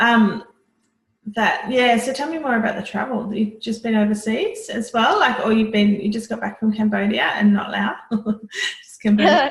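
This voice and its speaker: A woman's fairly high-pitched, ordinary speaking voice at a moderate pace, with fairly even intonation and big swings in loudness. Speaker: veterinarian, interviewer. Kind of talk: interview host.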